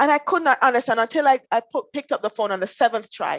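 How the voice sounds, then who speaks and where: At a very fast pace, a woman with a Jamaican accent talks high and with lively intonation, in a dry, close sound with no echo. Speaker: finance professional. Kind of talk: interview.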